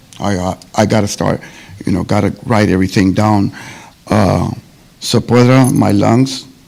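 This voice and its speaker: Over noticeable background noise, a man with a fairly low voice speaks at a moderate pace with ordinary pitch variation. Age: 60s. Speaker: public commenter at housing authority meeting. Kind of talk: public comment. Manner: halting.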